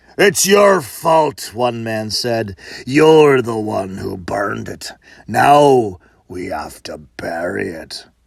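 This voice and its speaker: Using a put-on character voice, a man speaks very slowly at a medium pitch. His pitch swings very widely. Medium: read story. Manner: gruff, bossy.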